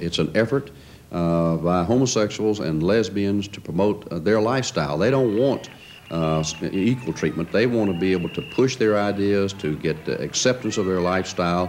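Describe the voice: A man talks at a moderate pace with a low pitch and ordinary pitch variation. His tone is slightly mellow, with faint background noise behind him.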